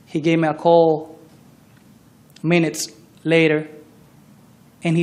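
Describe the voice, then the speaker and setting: Audible room echo surrounds a man with a fairly high voice who takes long, frequent pauses. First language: not English. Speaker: trial witness, barber. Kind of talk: courtroom testimony. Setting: courtroom. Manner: halting.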